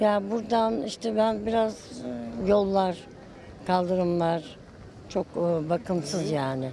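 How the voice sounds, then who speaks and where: Over a dry recording with no echo and light background noise, a woman talks at a very slow pace with long, frequent pauses and ordinary pitch variation. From Sivas, Turkey; Turkey. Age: 70s. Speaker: passer-by interviewed on the street; interviewee. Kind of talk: street interview. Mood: earnest, somewhat complaining. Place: street.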